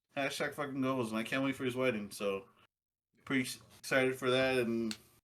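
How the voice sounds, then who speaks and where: A man speaks at a fairly quick pace and medium pitch, with long, frequent pauses. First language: Spanish. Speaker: podcast co-host. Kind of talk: casual chat. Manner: animated.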